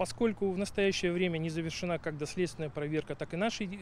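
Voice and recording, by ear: A man talks at a fast pace with a fairly high pitch. His pitch variation is ordinary.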